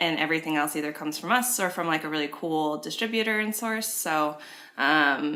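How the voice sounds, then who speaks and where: A woman's very deep, low-pitched voice comes at a fairly quick pace. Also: lively intonation. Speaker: subscription box business owner. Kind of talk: interview answer.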